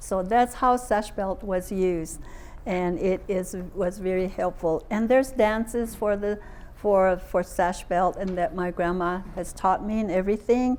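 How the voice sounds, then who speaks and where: A woman speaks fairly slowly at a medium pitch, her pitch varying in an ordinary way. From Navajo Nation, southwestern US. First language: Navajo. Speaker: traditional storyteller and translator. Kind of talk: public lecture presentation. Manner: casual, hesitant.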